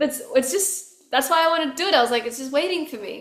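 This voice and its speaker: An Australian accent comes from a woman whose voice carries audible room echo. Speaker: musician. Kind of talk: casual interview chat. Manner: animated.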